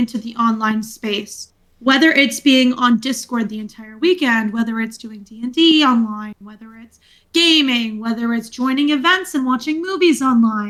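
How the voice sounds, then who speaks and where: Her high, bright, sharp voice moves at a moderate pace with ordinary pitch variation. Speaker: podcast co-host. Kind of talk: casual chat. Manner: loud. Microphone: mic cutting out, poor pickup.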